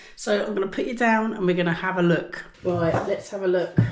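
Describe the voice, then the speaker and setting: A woman with an English accent, with audible room echo and noticeable background noise. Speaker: cooking YouTuber. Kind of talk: casual cooking vlog. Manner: chatty, informal.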